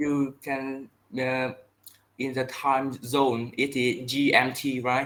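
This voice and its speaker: Here a man speaks very slowly at a medium pitch. His intonation is monotone and flat. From Vietnam. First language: Vietnamese. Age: 20s. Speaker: English learner. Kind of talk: online language lesson. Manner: halting.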